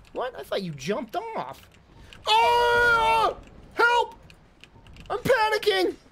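Against noticeable background noise, a man speaks at a very slow pace with long, frequent pauses. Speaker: video game streamer. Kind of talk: live gameplay commentary. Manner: animated. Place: home room. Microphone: headset.

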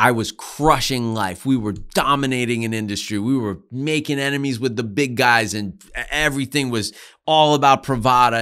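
A man speaks at a moderate pace with an American accent, his tone bright, sharp and animated. His pitch varies in an ordinary way against a quiet background. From Pennsylvania (Allentown); Pennsylvania. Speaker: cigar company founder; podcast guest. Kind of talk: casual interview. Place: studio. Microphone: studio mic.

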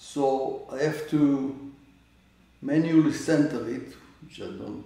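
A man's dark, mellow voice, fairly high in pitch with vocal fry and ordinary pitch variation, fairly slow with long, frequent pauses, big swings in loudness and audible room echo. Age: 80s+. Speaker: amateur astronomer. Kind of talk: tutorial. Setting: indoors at home. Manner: halting. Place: home room. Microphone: camera far.

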